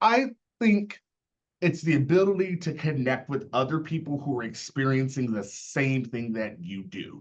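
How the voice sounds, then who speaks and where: Man at a fairly high pitch with very wide pitch swings. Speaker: association leader / university chief of staff. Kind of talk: panel discussion on video call. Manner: fast.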